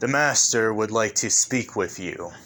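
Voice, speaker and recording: Someone speaks at a moderate pace in a put-on character voice. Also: man, medium pitch for a man. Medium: read story. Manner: gentlemanly, polite.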